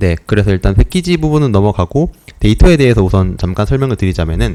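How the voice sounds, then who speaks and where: The voice has a dark, mellow tone, swings very widely in pitch, and moves at a very fast pace. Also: man, fairly low pitch for a man. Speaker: student presenter in a class. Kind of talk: lecture. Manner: hesitant, many fillers.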